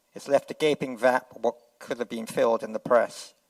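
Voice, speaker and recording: The sound is dry and close, with no echo. A man speaks at medium pitch and a moderate pace, with fairly even intonation. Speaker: award presenter. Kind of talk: ceremony speech. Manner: soft-spoken.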